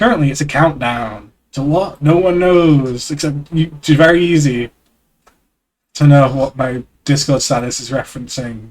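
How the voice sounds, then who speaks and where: With ordinary pitch variation, a man talks at a moderate pace in a fairly high voice. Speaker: streamer. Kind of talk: reading aloud. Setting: live stream. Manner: loud.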